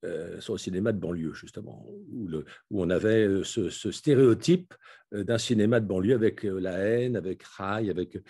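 Over a quiet background, a man speaks fairly slowly in a fairly low pitch, his tone dark and mellow with ordinary pitch variation. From France, Paris suburbs. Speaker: philosopher and urbanist author. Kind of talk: lecture. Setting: video call.

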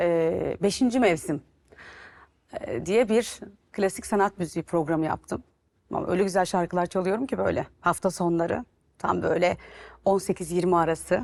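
A woman's fairly low voice with vocal fry, at a fairly slow pace with long, frequent pauses and ordinary pitch variation. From Turkey. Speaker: TV and radio presenter; radio presenter. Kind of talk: interview. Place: studio. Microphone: lapel.

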